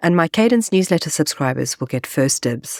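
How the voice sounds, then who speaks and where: In a very clean, dry, close recording with no echo and a silent background, a woman speaks at a moderate pace in a very deep, low voice. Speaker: podcast host and coach. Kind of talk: podcast intro monologue.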